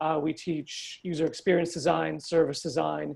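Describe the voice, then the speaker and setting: The speaker has a Canadian accent, and the background is quiet. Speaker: webinar host, training division head. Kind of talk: webinar introduction. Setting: online webinar. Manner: hesitant, many filler words.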